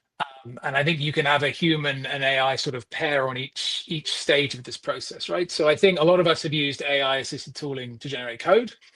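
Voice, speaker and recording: A man speaks with a British accent at a fairly quick pace. He leaves hardly any pauses. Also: fairly high pitch for a man, ordinary pitch variation. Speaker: software delivery manager, consultant. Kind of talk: interview.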